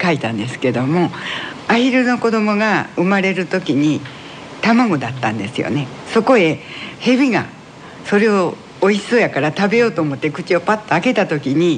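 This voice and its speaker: A man's high voice with very wide pitch swings at a moderate pace, over noticeable background noise. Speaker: folk tale writer and playwright. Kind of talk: interview.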